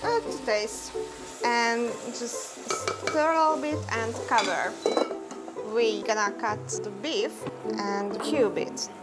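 Over clear music in the background, a woman speaks at a very slow pace with long, frequent pauses. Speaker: guest. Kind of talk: tutorial. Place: kitchen.

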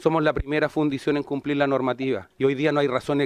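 Against a quiet background with a dry, echo-free sound, a man talks at a fairly quick pace in a fairly high pitch. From Chile. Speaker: union leader. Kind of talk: rally speech, fiery union address to legislators. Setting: legislative committee hearing. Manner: defiant, forceful, emphatic. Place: meeting room. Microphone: podium.

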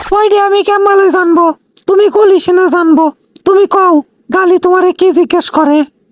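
A cartoonish character voice with extremely high pitch and very even loudness comes through. The sound is dry and close with no echo, at a moderate pace. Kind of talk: comic cartoon voice acting. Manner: teasing, quick-witted.

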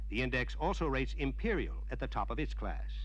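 A man with a very deep, low, somewhat breathy voice talks at a fairly quick pace. His tone is confident. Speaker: promotional film narrator. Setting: studio voice-over on a vintage dealer film. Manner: formal, brisk, confident announcer delivery.

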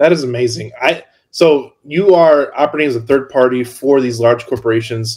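A man speaks fairly quickly in a somewhat breathy voice, his pitch varying in an ordinary way. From northwest Indiana. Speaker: podcast host. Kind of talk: casual interview. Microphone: video call.

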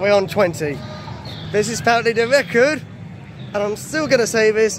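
Crowd noise sits in the background as a man with a high pitch and ordinary pitch variation speaks in a dry sound with no echo. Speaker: theme park vlogger. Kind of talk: casual vlog chat. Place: street. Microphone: phone near.

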